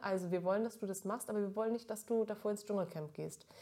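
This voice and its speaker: A woman speaks with a slight Franconian accent. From Middle Franconia, Germany. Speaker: TV presenter. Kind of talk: casual chat.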